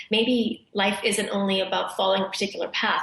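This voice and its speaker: A woman speaks very fast at a medium pitch, with monotone, flat intonation. Noticeable background noise runs behind her. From Zambia, then small-town Canada from age eight. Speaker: professor and speech scientist. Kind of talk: interview.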